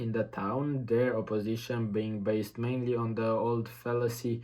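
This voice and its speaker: Speaking fairly slowly with a non-native accent, a man has a dark, mellow tone at medium pitch and monotone, flat intonation. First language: not English. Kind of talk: practice reading aloud of a nonfiction text. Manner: halting, repeats words.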